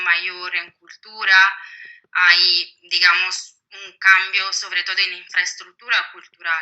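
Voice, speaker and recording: Her Italian accent stands out as this woman, medium in pitch and bright and sharp in tone, talks at a very slow pace with big swings in loudness. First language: Italian (speaking Spanish). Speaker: historian, book author. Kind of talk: interview. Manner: hesitant, many fillers.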